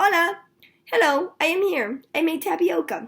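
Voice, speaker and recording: A woman uses a put-on character voice. It is squeaky and pitched extremely high. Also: moderate pace, lively intonation. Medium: read story. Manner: simple, warm.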